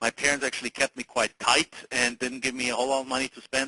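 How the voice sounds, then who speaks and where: A man's very fast, monotone delivery in a bright, sharp tone, with a dry, close sound and no echo. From Germany. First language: German. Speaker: real estate investor. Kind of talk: interview on a training call. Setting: conference call. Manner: halting, many fillers and restarts.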